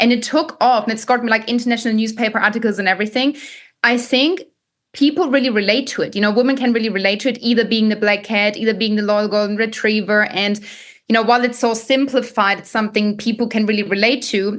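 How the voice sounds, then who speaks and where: Speaking very fast with a German accent, a woman uses a fairly high pitch. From Germany. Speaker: dating coach and content creator. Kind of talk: podcast interview. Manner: animated.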